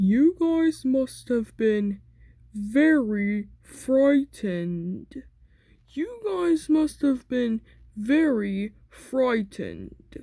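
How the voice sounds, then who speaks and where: A woman speaks very slowly in a put-on character voice. Her pitch sits fairly high. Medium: read story.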